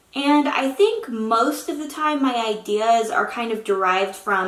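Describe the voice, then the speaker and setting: Using lively intonation, a woman speaks slowly-ish at a fairly slow pace with a fairly high pitch. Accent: American. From Oklahoma. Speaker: aspiring novelist and YouTuber. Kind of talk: casual vlog talk to camera.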